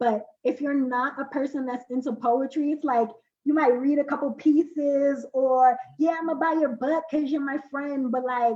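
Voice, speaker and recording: A woman with an American accent speaks at a moderate pace in a high voice of dark, mellow tone, her intonation flat and monotone. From Brooklyn, New York. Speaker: poet and spoken word artist. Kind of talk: interview.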